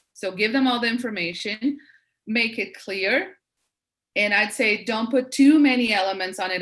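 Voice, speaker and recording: This speaker has a non-native accent and ordinary pitch variation. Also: woman. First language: not English. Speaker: branding expert, webinar speaker. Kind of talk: Q&A session in webinar.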